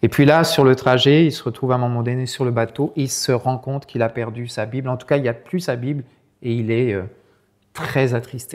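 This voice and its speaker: This man's medium-pitched voice moves at a fairly quick speed, its intonation fairly even. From France, Sarthe. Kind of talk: talk with storytelling. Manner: hesitant, many repetitions.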